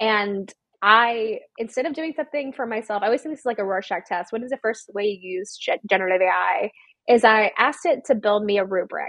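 In an American accent, a woman uses an ordinary speaking voice, fairly high-pitched with ordinary pitch variation, at a fairly quick pace. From US South, Georgia small town. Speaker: education company CEO. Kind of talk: interview. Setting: grandmother's house.

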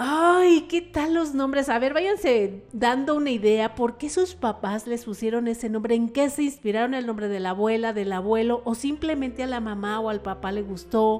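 Over noticeable background noise, a woman with a fairly high pitch talks at a moderate pace with hardly any pauses. Her intonation is lively. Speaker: radio host. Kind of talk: radio talk show monologue.

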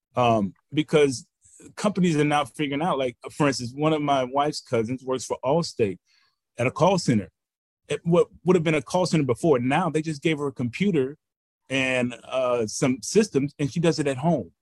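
Here is a man with a plain, everyday voice, fairly high in pitch, with ordinary pitch variation. The sound is dry and close, with no echo. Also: moderate pace. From Texas, Houston. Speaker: finance professor. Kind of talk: interview.

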